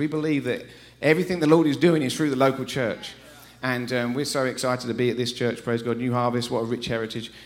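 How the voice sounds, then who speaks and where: Speaking with an English accent, a man talks at a very fast pace. His tone is animated. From England. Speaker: visiting preacher. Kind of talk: sermon. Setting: church.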